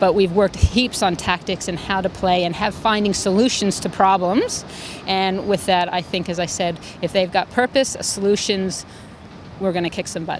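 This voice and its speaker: A woman at medium pitch and moderate pace, with fairly even intonation and noticeable background noise. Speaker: tennis coach. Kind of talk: interview.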